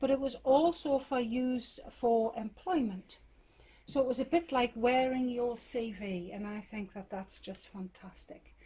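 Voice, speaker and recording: A woman with a Geordie accent speaks at a fairly slow pace in a high pitch and a dark, mellow tone. Her pitch variation is ordinary, while her loudness swings widely. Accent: posh Geordie, toned down Northumbrian. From northern England, Northumberland. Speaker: crofter and yarn maker. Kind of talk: casual chat, guided tour interview. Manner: hesitant, many fillers.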